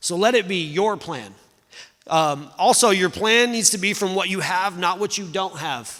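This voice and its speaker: In a raised, projected voice, a man speaks fairly slowly at a high pitch, with a bright, sharp tone and lively intonation. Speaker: pastor. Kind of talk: sermon.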